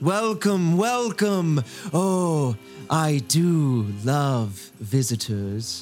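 Using a put-on character voice, a man talks at a very slow pace with a fairly high pitch and very wide pitch swings over clear music in the background. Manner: welcoming, sinisterly pleased.

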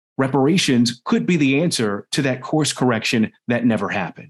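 Using an ordinary speaking voice, a man talks at a medium pitch and moderate pace with lively intonation. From Washington, DC. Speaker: news anchor and race and culture reporter. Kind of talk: interview conversation.

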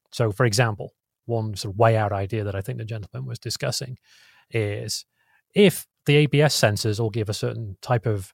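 A man with a British accent speaks at a fairly quick pace in a somewhat breathy, medium-pitched voice, recorded very cleanly with a silent background and a dry, close sound with no echo. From England. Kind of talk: casual technical interview.

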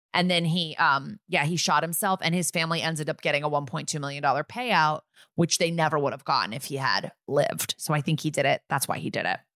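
A woman with an American accent talks very fast with hardly any pauses, in a very deep, low pitch, with ordinary pitch variation and a bright, sharp tone. The sound is dry and close with no echo, on a very clean recording with a silent background. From US Northeast, Connecticut. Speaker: podcast co-host. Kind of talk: casual chat.

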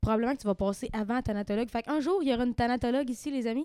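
Words come out very fast. The pitch moves up and down in an ordinary way. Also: woman. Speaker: podcast host. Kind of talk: casual chat.

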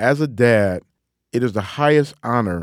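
Speaking with a Detroit accent, a man has a medium pitch and a fairly slow pace. The recording is very clean, with a silent background. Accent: Detroit Midwestern twang. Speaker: author and lecturer. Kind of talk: interview monologue.

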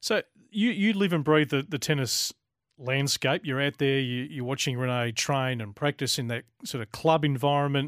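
Someone with an Australian accent speaks at a moderate pace with ordinary pitch variation in a very clean recording with a silent background, the sound dry and close with no echo. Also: man, fairly high pitch for a man. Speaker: radio host. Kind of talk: live radio show hosting.

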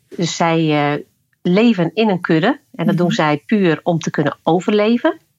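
Recorded with a dry, close sound with no echo, a woman speaks in a plain, everyday voice at a moderate pace, her fairly low pitch showing ordinary pitch variation. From Friesland, Netherlands. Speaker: leadership coach using horses. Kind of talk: interview. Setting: remote recording.

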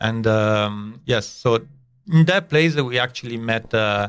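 Recorded very cleanly against a silent background, a man with an Italian accent talks at a fairly quick pace and a fairly low pitch. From northern Italy. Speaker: chef. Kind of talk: casual interview. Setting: studio.

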